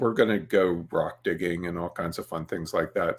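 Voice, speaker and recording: This man speaks at a moderate speed. The pitch of his voice shifts in an ordinary way. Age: 60s. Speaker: webinar host and photography trainer. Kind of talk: casual webinar chat. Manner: casual with many filler words.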